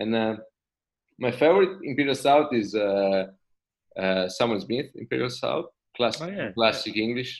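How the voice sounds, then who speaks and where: A man with an Italian accent and medium pitch, at a moderate pace with long, frequent pauses. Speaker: craft brewer. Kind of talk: casual chat. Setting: video call.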